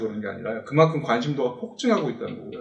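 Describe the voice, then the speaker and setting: A man's very fast, fairly high-pitched speech with very wide pitch swings, over noticeable background noise. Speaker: tech company presenter. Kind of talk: webinar presentation.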